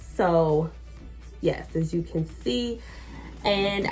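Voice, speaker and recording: A woman talks while music plays behind her. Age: 20s. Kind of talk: casual talk to camera. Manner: casual, chatty.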